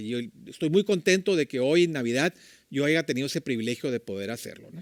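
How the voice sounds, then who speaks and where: Very wide pitch swings mark this fairly quick speech, heard in a very clean recording with a silent background and a dry, close sound with no echo. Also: man. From Mexico, Tijuana. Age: 60s. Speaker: church leader, preacher. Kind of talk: sermon. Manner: conversational, with filler words.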